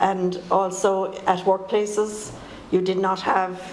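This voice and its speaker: Over noticeable background noise and audible room echo, a woman with an Irish accent speaks at a medium pitch in a monotone, flat way. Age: 70s. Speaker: poet and political activist. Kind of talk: panel talk.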